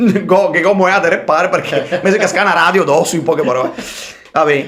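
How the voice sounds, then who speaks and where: A man speaks in a high voice with a Venetian accent. Noticeable background noise can be heard. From Veneto, Italy. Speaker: rapper. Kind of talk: podcast interview answer, casual storytelling.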